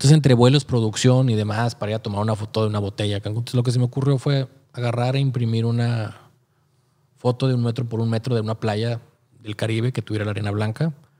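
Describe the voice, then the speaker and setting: A man talks at a very fast pace with a Mexican accent. His tone is dark and mellow, and his intonation stays flat and monotone. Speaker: photographer podcast co-host; podcast host. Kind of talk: casual chat. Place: studio. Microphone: studio mic.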